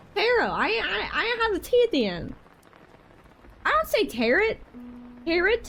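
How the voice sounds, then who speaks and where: A woman with a Southern US accent speaks at a moderate pace in an extremely high pitch, with very wide pitch swings. Noticeable background noise runs underneath. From Georgia, US South. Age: 20s. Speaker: streamer. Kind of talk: casual live stream chat. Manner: animated.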